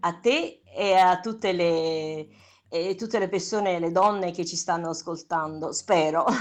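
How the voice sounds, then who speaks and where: A woman's fairly low voice with fairly even intonation at a fairly slow pace. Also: quiet background. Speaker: stage actress. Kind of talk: radio interview.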